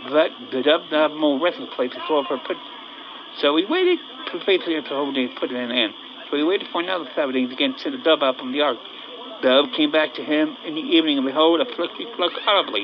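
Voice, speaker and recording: Very fast speech from a man with a fairly high pitch and ordinary pitch variation. Noticeable background noise runs underneath. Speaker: bible teacher. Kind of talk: scripture reading with commentary. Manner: halting.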